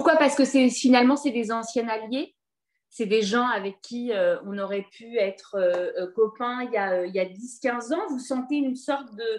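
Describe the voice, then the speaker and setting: At a moderate pace, a woman with a high pitch speaks with ordinary pitch variation. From France, Paris. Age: 40s. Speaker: comedian, interviewer. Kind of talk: interview conversation.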